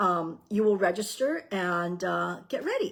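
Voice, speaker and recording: A woman speaks in an animated, somewhat breathy tone with lively intonation. The recording is very clean, with a silent background. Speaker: papercraft demonstrator. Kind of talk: craft tutorial with announcements. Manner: chatty, animated.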